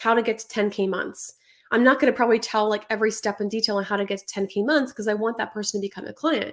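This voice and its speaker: On a very clean recording with a silent background, a woman talks at a very fast pace with a fairly high pitch and fairly even intonation. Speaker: online business coach. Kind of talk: live stream tutorial. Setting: Instagram live stream.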